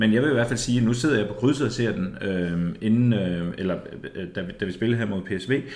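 Audible room echo surrounds a man with a fairly low pitch. He talks at a fairly quick pace with ordinary pitch variation. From East Jutland, Denmark. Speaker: football podcast co-host. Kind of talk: casual chat.

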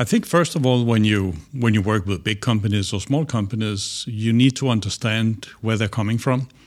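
A medium-pitched man with a Danish accent, ordinary pitch variation, a moderate pace and hardly any pauses. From Denmark. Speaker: business strategist. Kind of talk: interview.

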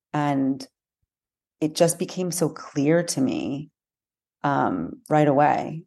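With an American accent, a woman speaks at a very slow pace in a very deep, low, dark, mellow voice, with long, frequent pauses and ordinary pitch variation. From United States. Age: 30s. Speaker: hostage family advocate. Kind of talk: interview testimony. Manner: halting.

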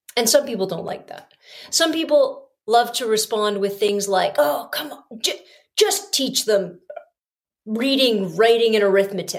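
A woman has an unremarkable speaking voice with a fairly high pitch. Her intonation is lively and her loudness swings widely. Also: fairly slow pace. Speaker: teacher podcaster. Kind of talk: solo monologue podcast. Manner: conversational, self-deprecating.

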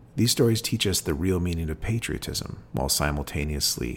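With a very deep, low pitch and vocal fry, a man speaks at a fairly quick pace with lively intonation. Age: 40s. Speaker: podcast host reading and discussing poetry. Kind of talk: poetry reading and commentary.

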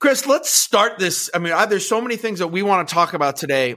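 A man with an American accent projects a raised, high-pitched voice. He talks at a fairly quick pace with very wide pitch swings. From northwestern Pennsylvania, US. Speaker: podcast host and call center CEO. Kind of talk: casual interview chat. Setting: live stream.

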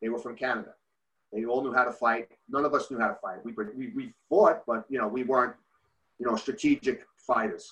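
This man talks fairly quickly in a medium pitch, with ordinary pitch variation. He has a New Jersey accent. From New Jersey, Bergen County. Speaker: youth hockey coach. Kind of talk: casual interview. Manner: halting.

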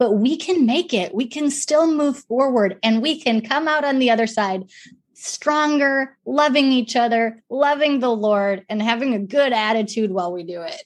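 This is a normal speaking voice at a moderate pace with ordinary pitch variation. The background is quiet. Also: woman. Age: 40s. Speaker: nonprofit ministry leader. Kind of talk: interview.

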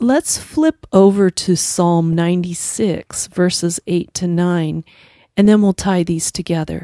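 A dark, mellow voice with an American accent moves at a very slow pace with fairly even intonation. The sound is dry and close with no echo, over a quiet background. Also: woman, fairly low pitch for a woman. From United States. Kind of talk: devotional talk with scripture reading.

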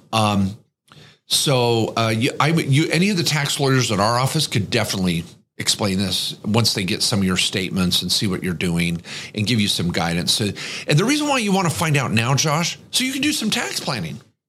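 Speaking fairly quickly, a man uses a bright, sharp tone with very wide pitch swings. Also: medium pitch for a man. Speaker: podcast host. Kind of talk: casual banter podcast, Q&A.

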